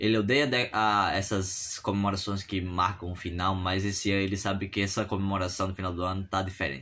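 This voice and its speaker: The speaker is a man with a fairly low voice. His intonation is fairly even. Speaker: content creator. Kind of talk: storytelling. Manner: fast.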